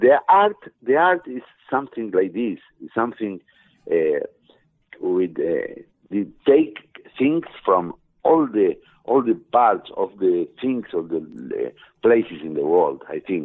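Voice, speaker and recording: A man with an Argentine accent at a very slow pace, with long, frequent pauses and big swings in loudness. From Argentina. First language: Spanish. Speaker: musician. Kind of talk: interview answers. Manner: halting, broken English.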